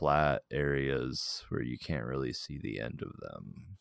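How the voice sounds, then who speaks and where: This man has an American accent. He talks very slowly. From Arizona (Tempe). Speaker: podcast host. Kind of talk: casual chat. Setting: video call.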